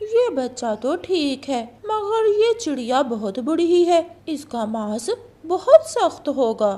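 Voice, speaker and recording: This is a high-pitched cartoonish character voice with very wide pitch swings. It moves at a very slow pace. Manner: cruel, mocking.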